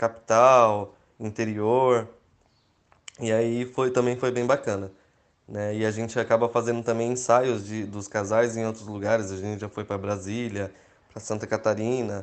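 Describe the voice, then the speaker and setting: Here a man speaks at medium pitch and a moderate pace. His intonation is monotone and flat. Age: 30s. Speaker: wedding photographer. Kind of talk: interview.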